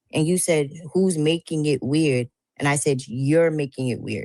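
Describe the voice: The tone is slightly mellow and the pace fairly slow. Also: woman, low pitch for a woman, ordinary pitch variation.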